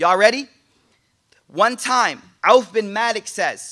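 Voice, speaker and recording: A man's raised, projected voice, high-pitched for a man, with a bright, sharp tone, an animated delivery and a fairly slow pace. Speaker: Islamic teacher. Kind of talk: sermon. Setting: live in-person class with audience. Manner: animated, punchy.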